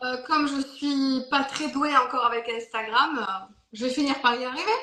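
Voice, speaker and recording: A woman projects a raised, high-pitched voice with a slight German accent and ordinary pitch variation. There is noticeable background noise behind her. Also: moderate pace. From Germany. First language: German (speaking French). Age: 60s. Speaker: Reiki master and teacher. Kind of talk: interview.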